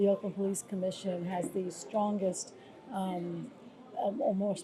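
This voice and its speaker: Using a plain, everyday voice, a woman speaks with fairly even intonation. Her pitch is medium and her pace moderate. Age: 60s. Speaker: former police commissioner and nonprofit leader. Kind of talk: interview. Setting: on location in Salvador, Brazil.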